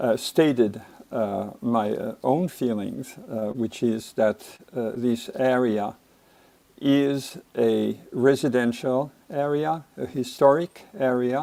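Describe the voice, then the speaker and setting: In a French accent, a man with a medium pitch and a dark, mellow tone speaks at a very slow pace with ordinary pitch variation. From France. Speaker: resident speaking at public hearing. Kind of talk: public comment at hearing. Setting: video call. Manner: hesitant, many fillers.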